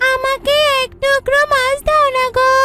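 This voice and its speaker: A cartoonish character voice, female-sounding and extremely high-pitched, with monotone, flat intonation and light background noise. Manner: playful, bossy.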